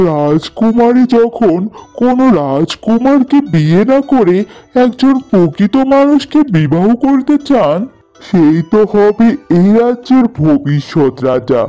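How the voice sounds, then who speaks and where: A man does a cartoonish character voice, high-pitched with very wide pitch swings, at a fairly slow pace. His loudness stays very even, with faint music in the background. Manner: calm, respectful.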